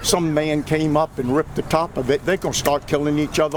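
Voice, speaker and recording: A man talks at a very fast pace in a fairly high voice. Noticeable background noise runs underneath. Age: 80s+. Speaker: interviewed resident. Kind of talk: street interview.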